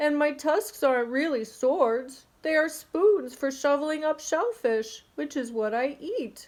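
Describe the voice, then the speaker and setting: A woman puts on a character voice with a high pitch. She goes at a fairly slow pace with hardly any pauses. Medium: read story.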